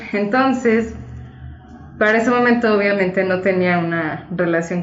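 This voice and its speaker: A woman keeps a moderate pace, and audible room echo hangs around her words. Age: 20s. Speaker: co-host sharing personal testimony. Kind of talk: testimony.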